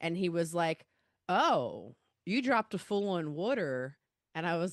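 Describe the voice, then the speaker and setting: With a Baltimore accent, a woman of fairly low pitch speaks at a moderate pace with lively intonation, in a dry, close sound with no echo over a quiet background. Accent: Baltimore accent, comes out in some words. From Baltimore, Maryland, US. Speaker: podcast host, comedian, record label founder. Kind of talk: casual interview chat. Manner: animated, conversational.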